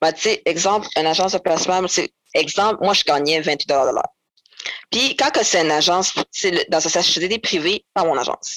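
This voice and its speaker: This woman's voice sits fairly low in pitch, with ordinary variation. She talks at a moderate pace. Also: dry, close sound with no echo. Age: 20s. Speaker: former foster youth, nursing student. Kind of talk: testimony. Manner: halting.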